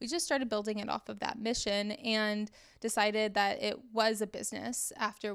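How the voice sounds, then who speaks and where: With an American accent and a plain, everyday voice, a woman speaks fairly quickly at a fairly high pitch. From Texas, Dallas. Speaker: business coach. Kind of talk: casual interview.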